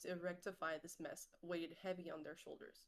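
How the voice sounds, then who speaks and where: A woman talks at a fairly quick pace. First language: French. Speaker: content creator and streamer. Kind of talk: reading aloud own short story. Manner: occasional stumbles and self-corrections.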